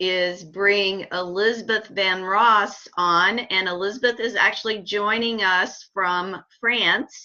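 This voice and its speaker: With an American accent, a woman at medium pitch speaks at a very slow pace. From US South, Kentucky. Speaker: dietitian and webinar host. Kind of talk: moderating video call.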